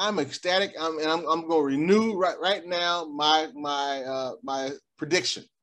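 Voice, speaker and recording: A quiet background sits behind speech at a moderate pace. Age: 60s. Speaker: podcast co-host. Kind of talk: casual chat.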